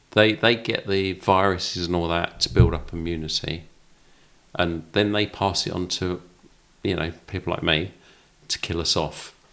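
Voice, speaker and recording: With a very deep, low pitch, a man talks at a moderate pace in fairly even intonation, taking long, frequent pauses amid noticeable background noise. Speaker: podcast co-host. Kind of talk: casual chat.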